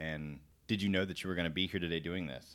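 On a very clean recording with a silent background, a man speaks at a very deep, low pitch with ordinary pitch variation. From Florida. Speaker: military podcast host, air force NCO. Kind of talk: casual interview. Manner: fast.

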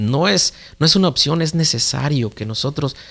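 In a very clean recording with a silent background, a man with an unremarkable speaking voice talks at a moderate pace with ordinary pitch variation. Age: 30s. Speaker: father, podcast guest. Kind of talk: casual chat.

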